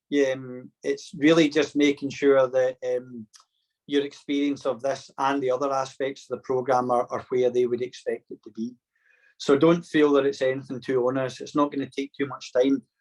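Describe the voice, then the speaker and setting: A man with a Scottish accent at a fairly high pitch, monotone and flat, at a moderate pace, with a dry, close sound and no echo. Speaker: programme facilitator. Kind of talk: online induction session.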